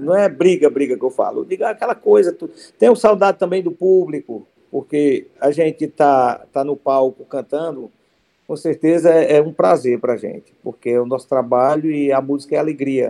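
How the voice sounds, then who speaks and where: A man's fairly high-pitched voice with a Cearense accent, a dark, mellow tone and a moderate pace. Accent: Cearense Northeastern Brazilian Portuguese. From Ceará interior, Brazilian Northeast (Cariús). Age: 50s. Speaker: forró musician, accordionist. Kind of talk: interview. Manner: halting, many repetitions.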